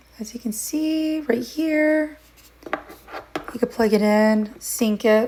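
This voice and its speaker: A woman with a high-pitched voice talks at a very slow pace, with long, frequent pauses and noticeable background noise. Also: ordinary pitch variation. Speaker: product reviewer. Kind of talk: product review.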